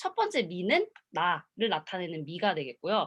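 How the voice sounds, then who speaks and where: Her tone animated and her pitch swinging very widely, a woman talks at a moderate pace. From Korea. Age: 20s. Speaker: motivational speaker. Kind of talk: seminar talk.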